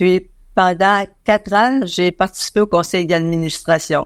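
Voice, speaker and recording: A woman speaks at a very slow pace with a fairly low pitch. Her intonation is fairly even, in a dry, close sound with no echo. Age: 90s. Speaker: interviewee, visually impaired association member. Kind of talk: interview. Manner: halting, many hesitations.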